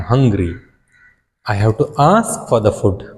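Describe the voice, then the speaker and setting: With a Karnataka accent, a man speaks at a medium pitch, his voice somewhat breathy and his intonation lively. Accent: Indian English (Kannada). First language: Kannada. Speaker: English teacher. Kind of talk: lecture.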